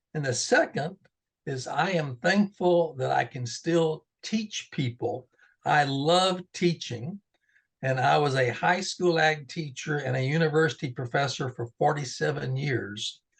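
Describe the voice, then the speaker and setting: Against a quiet background, a man with a Texas accent talks at a fairly slow pace, his somewhat breathy voice fairly high in pitch with ordinary pitch variation. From Central Texas Hill Country. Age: 70s. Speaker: retired agricultural education professor. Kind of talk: interview.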